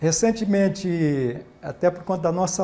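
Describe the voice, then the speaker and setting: Ordinary pitch variation marks this voice, which has a dark, mellow tone. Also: man. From Bahia, Brazil. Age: 70s. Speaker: retired port worker, author and union activist. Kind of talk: TV interview. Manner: formal.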